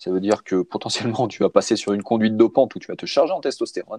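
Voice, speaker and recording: A man with a dark, mellow tone and fairly low pitch sounds dry and close, with no echo. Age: 40s. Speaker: cycling and triathlon coach. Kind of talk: casual interview. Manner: halting, many fillers.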